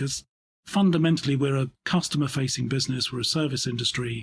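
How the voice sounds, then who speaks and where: A man talks at a very fast pace in a somewhat breathy voice of medium pitch and fairly even intonation, the sound dry and close with no echo. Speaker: insurance company CEO and underwriter. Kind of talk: interview answer. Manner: considered, thoughtful, dry humour.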